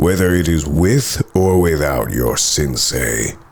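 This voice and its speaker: A man puts on a character voice pitched very deep and low. His intonation is lively. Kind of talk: ASMR roleplay. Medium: solo performance. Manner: commanding, condescending.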